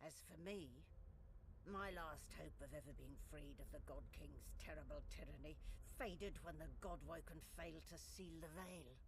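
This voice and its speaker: Someone uses a put-on character voice at a moderate pace amid loud background noise. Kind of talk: epic fantasy narration. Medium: video game. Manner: grave, measured.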